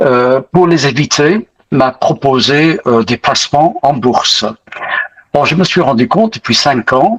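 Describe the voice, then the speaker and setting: Lively intonation marks this man's fairly high voice, delivered at a very slow pace. The loudness stays very even, and the sound is dry and close with no echo. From Britain. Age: 80s+. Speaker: retired pastor, investing course student. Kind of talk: testimony interview. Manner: hesitant, many fillers.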